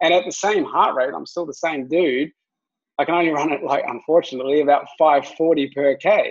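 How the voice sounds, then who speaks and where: Against a quiet background, a man with a New Zealand accent speaks at a moderate pace and a fairly high pitch with ordinary pitch variation. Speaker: fitness coach, former triathlete; fitness coach. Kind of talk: webinar presentation. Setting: video call. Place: home room. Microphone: webcam.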